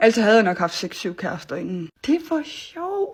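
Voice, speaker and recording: A woman talks with a fairly high pitch. Behind her the recording is very clean and the background silent. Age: 20s. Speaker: vlogger. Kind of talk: casual monologue vlog. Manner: animated.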